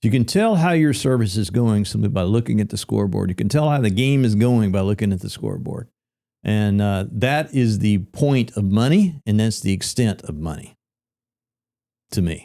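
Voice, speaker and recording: With a Tennessee accent, a man at fairly low pitch speaks at a moderate pace with lively intonation and a dark, mellow tone on a very clean recording with a silent background. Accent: Southern US (Tennessee). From Middle Tennessee. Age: 60s. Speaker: real estate brokerage founder. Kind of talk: podcast interview. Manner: casual, conversational.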